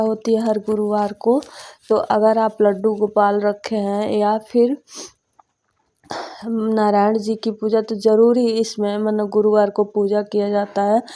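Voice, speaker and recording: A woman's fairly high pitch with a dark, mellow tone, a very slow pace and monotone, flat intonation. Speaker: housewife vlogger. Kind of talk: casual vlog narration.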